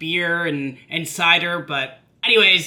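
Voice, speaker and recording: A man with a Canadian accent speaks in a raised, projected voice. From Canada, Vancouver BC. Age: 30s. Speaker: vlogger, amateur marathon runner. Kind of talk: casual personal video update.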